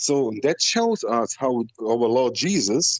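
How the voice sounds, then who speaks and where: Using very wide pitch swings, a man with a non-native accent speaks at a fairly high pitch. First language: not English. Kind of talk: call-in discussion. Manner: halting, many fillers.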